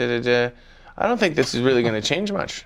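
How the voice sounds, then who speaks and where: A man is speaking. He has a Canadian accent. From Canada. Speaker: comedian. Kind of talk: casual chat.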